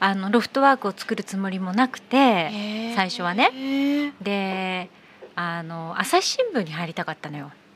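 It's an ordinary speaking voice at a fairly slow pace with lively intonation. Its loudness swings a lot. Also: woman, medium pitch for a woman. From Abu Dhabi. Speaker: company founder. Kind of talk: casual chat. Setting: bar-themed studio set.

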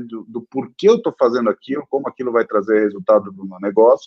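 This man has an unremarkable speaking voice, pitched in the medium range and delivered fairly quickly. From São Paulo, Brazil. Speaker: entrepreneur. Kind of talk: interview.

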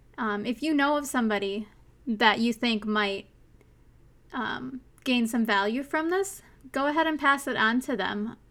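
A woman speaks at a moderate pace in a high voice with ordinary pitch variation. Her long, frequent pauses stand out on a very clean recording with a silent background. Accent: Minnesotan. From US Minnesota. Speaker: podcast host. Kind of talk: solo podcast monologue, casual and personal. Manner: casual, chatty, earnest; laughs often, self-deprecating.

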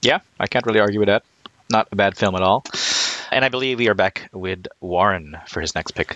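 In a dry, close sound with no echo, a man uses an ordinary speaking voice at a fairly low pitch and a fairly quick pace. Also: ordinary pitch variation. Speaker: podcast host. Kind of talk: casual chat.

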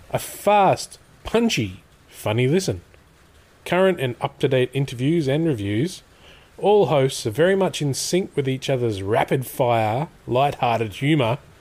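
With an Australian accent, a man speaks at medium pitch and a fairly slow pace, his voice somewhat breathy, his pitch swinging very widely and his loudness staying very even. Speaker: podcast host. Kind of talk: casual chat.

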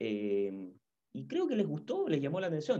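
Pitched fairly high for a man, this voice has a dark, mellow tone, very wide pitch swings and a moderate pace. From Chile, Santiago. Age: 50s. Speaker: football commentator. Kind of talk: interview.

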